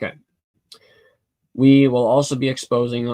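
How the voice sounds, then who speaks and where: A man is speaking at medium pitch. His pace is moderate. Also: dry, close sound with no echo. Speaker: YouTube channel host. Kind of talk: live stream Q&A. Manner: casual, halting.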